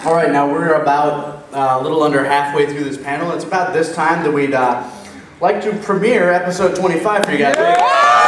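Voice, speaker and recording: Over crowd noise and audible room echo, a man with an American accent speaks at a fairly quick pace. His pitch is fairly high, with ordinary variation. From Minnesota, US. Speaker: web voice actor and convention panelist; web voice actor, panelist. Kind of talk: convention panel talk. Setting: stage with audience. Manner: loud. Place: hall. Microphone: camera far.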